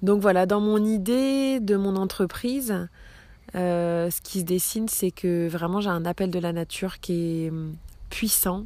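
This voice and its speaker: A woman's dark, mellow voice at a medium pitch, with ordinary pitch variation and a very slow pace. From Brittany, France. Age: 30s. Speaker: podcaster, former nurse. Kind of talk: personal monologue podcast. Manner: hesitant, many fillers.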